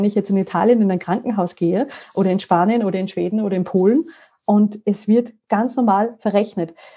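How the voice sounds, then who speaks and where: Her voice is somewhat breathy and fairly high, a woman with a dark, mellow tone and ordinary pitch variation. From Austria, Salzburg mountains. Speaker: EU information network staff. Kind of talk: interview. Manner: animated.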